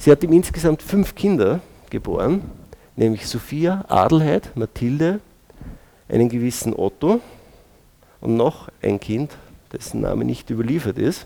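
With a dark, mellow tone and fairly high pitch, a man speaks at a fairly slow pace, using very wide pitch swings and long, frequent pauses. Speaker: molecular biologist and lecturer. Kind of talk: lecture.

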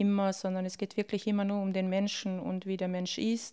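A woman in a Bosnian accent at medium pitch, monotone and flat, dark and mellow in tone, on a very clean recording with a silent background. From Bosnia, raised in Austria from childhood. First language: Bosnian (speaking German). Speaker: refugee, interviewee. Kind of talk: personal testimony.

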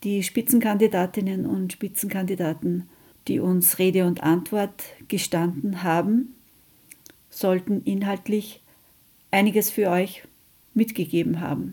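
A woman with a medium-pitched, dark, mellow, somewhat breathy voice speaks at a fairly slow pace with ordinary pitch variation and long, frequent pauses. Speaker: radio host, anti-nuclear activist. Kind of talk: radio magazine presentation, reading statements aloud.

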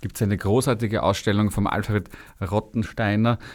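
A man's fairly low, normal speaking voice with fairly even intonation in a very clean recording with a silent background. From Austria, Vienna. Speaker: radio host. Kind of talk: casual interview chat. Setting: radio studio.

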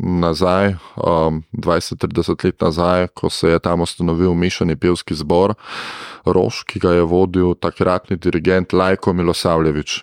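With a very deep, low pitch and fairly even intonation, a man speaks in a dry, close sound with no echo. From Gorenjska, Slovenia. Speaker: choir conductor and music teacher. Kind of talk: radio interview.

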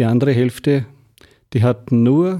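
On a very clean recording with a silent background, a man with a Lower Austrian accent speaks at a fairly slow pace in a dark, mellow tone with ordinary pitch variation. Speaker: mayor and energy pioneer. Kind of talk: radio interview.

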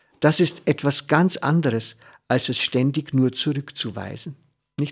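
At a very slow pace and with ordinary pitch variation, a man speaks in a very clean recording with a silent background. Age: 60s. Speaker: radio host. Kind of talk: reflective talk. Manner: halting.

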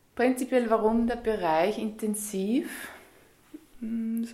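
This woman's voice sits fairly high in pitch. Its tone is dark and mellow. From Upper Austria. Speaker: yoga teacher. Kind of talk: radio interview. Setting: yoga studio.

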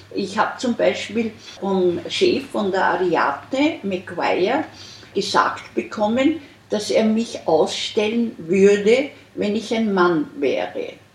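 Over noticeable background noise, a woman talks very slowly with a fairly high pitch and lively intonation. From Austria. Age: 70s. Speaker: artist. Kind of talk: interview. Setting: artist's studio.

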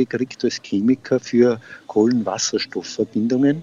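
Using an ordinary speaking voice, a man talks fairly slowly at medium pitch with fairly even intonation. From Upper Austria, Freistadt. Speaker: retired gardener and beekeeper. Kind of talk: interview.

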